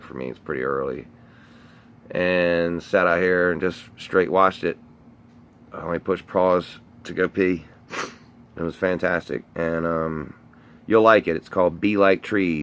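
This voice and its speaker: A man's very deep, low voice in a Southern US accent, fairly slow and fairly even, broken by long, frequent pauses. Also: big swings in loudness. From North Carolina. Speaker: live streamer. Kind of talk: casual live stream monologue.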